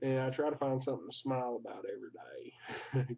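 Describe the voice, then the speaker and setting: A man at a moderate pace, in a strong Southern US accent. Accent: thick Southern US. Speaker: vlogger. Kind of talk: casual vlog monologue. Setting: at home recording at his computer. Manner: halting, filler-heavy.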